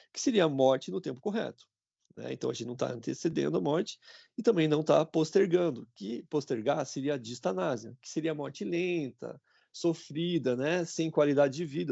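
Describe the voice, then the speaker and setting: A man's delivery is fairly quick and full of lively intonation. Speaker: university lecturer, physiotherapist. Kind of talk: online class lecture. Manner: hesitant, many fillers.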